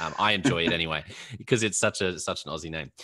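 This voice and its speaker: A man speaks with an Australian accent. His pace is very fast. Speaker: podcast host. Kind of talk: interview.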